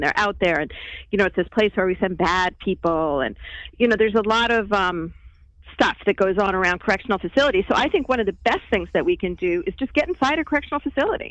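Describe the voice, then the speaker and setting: A woman speaks at a fairly quick pace in a plain, everyday voice, medium in pitch with lively intonation. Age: 50s. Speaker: documentary filmmaker. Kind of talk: interview.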